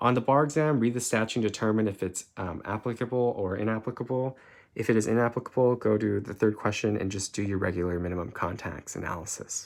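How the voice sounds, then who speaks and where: Talking at a very fast pace with hardly any pauses, a man uses fairly low pitch and ordinary pitch variation. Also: very clean recording, silent background. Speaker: law tutor. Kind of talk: lecture. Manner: halting.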